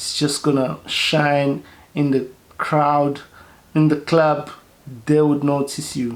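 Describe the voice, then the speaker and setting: The speech moves at a very slow pace. Its intonation stays monotone and flat. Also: man. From South Africa. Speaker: fragrance reviewer, YouTuber. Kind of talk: product review vlog. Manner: halting, many repetitions and fillers.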